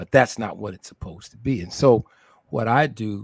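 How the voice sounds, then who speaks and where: A somewhat breathy voice at a moderate pace, dry and close with no echo. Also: man. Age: old. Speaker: community doctor hosting a health talk show. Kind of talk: casual panel discussion. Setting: online live stream. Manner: halting, many repetitions.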